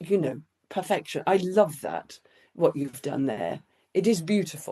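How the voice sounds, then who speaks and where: A fairly slow voice with vocal fry, a dark, mellow tone and ordinary pitch variation. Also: woman, fairly low pitch for a woman. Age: 60s. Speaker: children's book author. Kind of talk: interview conversation.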